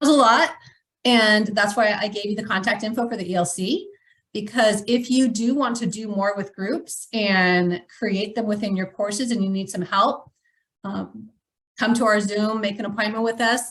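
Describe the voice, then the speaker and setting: Speaking in a normal speaking voice, a woman has fairly high pitch, ordinary pitch variation and a moderate pace. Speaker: educational technology staff presenter. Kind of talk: webinar tutorial demonstration.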